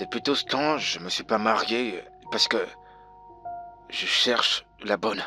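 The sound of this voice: A man's put-on character voice, fairly low in pitch with ordinary pitch variation, bright and sharp in tone with a slightly husky edge, at a slow pace over faint music in the background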